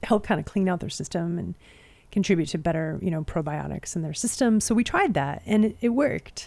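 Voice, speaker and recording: Recorded very cleanly against a silent background, a woman speaks in a dark, mellow tone with a Pacific Northwest accent. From Spokane, Washington, US. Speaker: podcast co-host, backyard chicken keeper. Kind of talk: casual chat.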